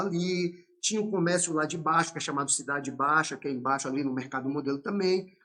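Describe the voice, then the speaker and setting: A man speaks in a Bahian accent at a fairly quick pace. His tone is bright and sharp, with ordinary pitch variation. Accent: Bahian Brazilian Portuguese. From Brazil, Salvador, Bahia. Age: 50s. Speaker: capoeira master. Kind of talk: podcast interview.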